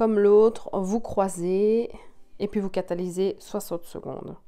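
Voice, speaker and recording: A woman's medium-pitched, dark and mellow voice in a Belgian accent, fairly slow and flat in a monotone. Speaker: nail technician, tutorial creator. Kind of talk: tutorial. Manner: casual, with frequent filler 'euh'.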